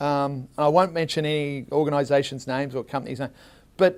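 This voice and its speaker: A man speaks at a fairly quick pace with an Australian accent, recorded very cleanly against a silent background. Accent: Australian, kept after 27 years in US. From Australia, Melbourne. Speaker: tech company co-founder, marketing executive. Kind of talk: interview at public forum. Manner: animated.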